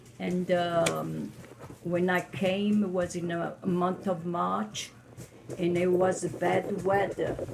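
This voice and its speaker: Music plays in the background as a woman speaks at a very slow pace. Her pitch is fairly low and her intonation fairly even. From Italy. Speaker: immigrant interviewee. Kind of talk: oral history interview. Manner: halting.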